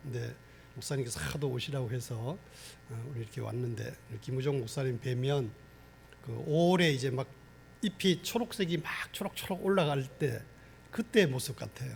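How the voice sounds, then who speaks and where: A man's medium-pitched voice with vocal fry, lively intonation, moderate pace and long, frequent pauses. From Gangwon Province, Korea. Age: 60s. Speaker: pastor. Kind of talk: sermon. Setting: church.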